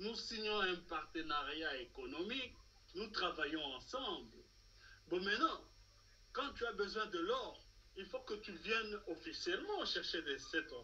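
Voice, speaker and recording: Long, frequent pauses break up a man's speech at a very slow pace. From Democratic Republic of the Congo. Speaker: political commentator. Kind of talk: political talk show discussion. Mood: serious, argumentative. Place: home room. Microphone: video call.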